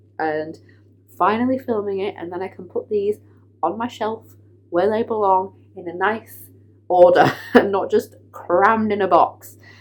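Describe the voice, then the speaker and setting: A woman with an English accent speaks with long, frequent pauses. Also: medium pitch for a woman, fairly even intonation, moderate pace, big swings in loudness. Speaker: book vlogger. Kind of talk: casual vlog talk.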